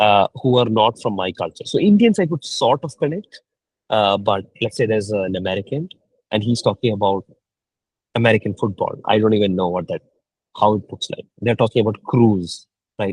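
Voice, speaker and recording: A man speaks at a moderate pace, his voice somewhat breathy. His pitch is fairly low, with ordinary pitch variation. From India (Kerala). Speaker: mentor. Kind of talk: mentoring session.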